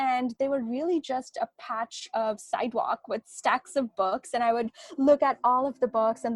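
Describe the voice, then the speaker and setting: With a Bengali accent, a woman speaks at a high pitch and fairly slow pace with ordinary pitch variation, in a dry, close sound with no echo. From India. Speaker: novelist. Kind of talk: interview.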